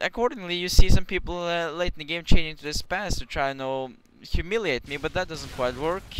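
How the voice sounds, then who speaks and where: He speaks with a Norwegian accent at a high pitch. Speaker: gaming commentator. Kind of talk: gameplay commentary. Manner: halting, many restarts; casual.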